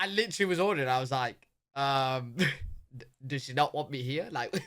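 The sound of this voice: With lively intonation and a fairly bright tone, a man speaks at medium pitch and a moderate pace in a very clean recording with a silent background.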